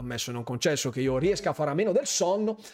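Amid noticeable background noise, a man speaks in an animated tone with very wide pitch swings. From Bergamo, northern Italy. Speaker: gaming streamer and YouTuber. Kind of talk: live stream chat with viewers. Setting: live stream at home, headset microphone. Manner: animated, chatty, informal.

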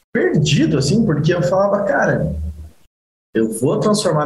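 A man speaks at a moderate pace, somewhat breathy, with lively intonation. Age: 20s. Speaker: mechanical engineer and e-commerce entrepreneur. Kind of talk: live-streamed casual interview.

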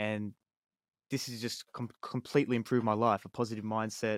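In an Australian accent, a man speaks at a fairly quick pace and medium pitch with flat, monotone intonation, the sound dry and close with no echo on a very clean recording with a silent background. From Australia, Sydney. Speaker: hip-hop artist. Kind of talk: casual chat. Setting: home studio.

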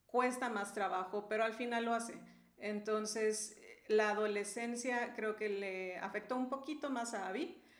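A woman at a fairly high pitch, fairly slow and fairly even in intonation, amid noticeable background noise and audible room echo. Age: 40s. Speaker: mother and marriage ministry leader. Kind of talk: casual chat.

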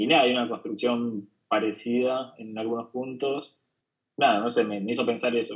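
A man speaks with an ordinary speaking voice. His intonation is fairly even, and his pace is fairly quick. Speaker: comic artist. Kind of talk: casual chat. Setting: video call. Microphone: remote call audio, poorer quality.

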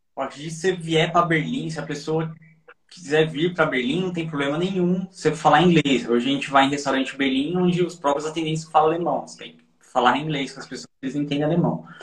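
A man with an unremarkable speaking voice, fairly high in pitch, at a fairly quick pace. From São Paulo / Osasco, Brazil. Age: 30s. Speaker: expat guest, IT worker. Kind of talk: casual interview chat.

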